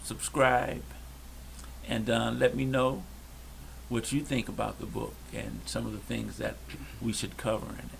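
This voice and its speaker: With an American accent, a man speaks at a fairly slow pace with long, frequent pauses, and audible room echo is present. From Detroit, Michigan. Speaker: podcast co-host. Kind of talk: casual chat. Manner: soft-spoken; quiet.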